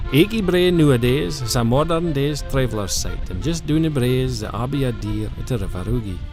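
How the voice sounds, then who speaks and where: A man with a northeast Scottish accent, fairly quick and with hardly any pauses, lively intonation, music in the background. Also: medium pitch for a man. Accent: North-east Scottish (Doric). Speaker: narrator. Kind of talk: documentary narration.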